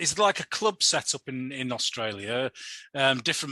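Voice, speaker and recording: In a Yorkshire accent, a man talks at a moderate pace and medium pitch, his bright, sharp tone captured with a dry, close sound with no echo against a quiet background. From Yorkshire, England. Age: 50s. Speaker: podcast host. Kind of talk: casual interview chat.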